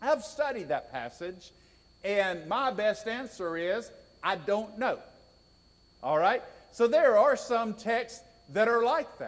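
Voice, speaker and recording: A man talks very slowly with lively intonation. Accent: Southern US. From US South (raised in Georgia). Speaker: preacher. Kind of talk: sermon.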